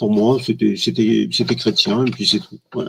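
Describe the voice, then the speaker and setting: A man talks at a moderate pace. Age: 60s. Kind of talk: testimony. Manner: halting, many hesitations.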